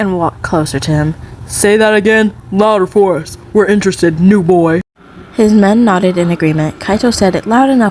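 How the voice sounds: Pitch moves in an ordinary way as a natural reading voice carries the text.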